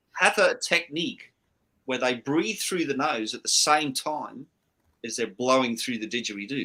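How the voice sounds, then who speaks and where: Pitched fairly high with ordinary pitch variation, a man talks at a moderate pace in a bright, sharp tone. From Scotland. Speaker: livestream host. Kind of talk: casual chat.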